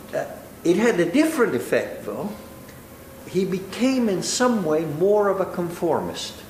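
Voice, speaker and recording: A high-pitched man speaks with lively intonation. Audible room echo and noticeable background noise come with his voice. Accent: slight Italian. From Italy. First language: Italian. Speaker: law professor and judge. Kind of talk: lecture.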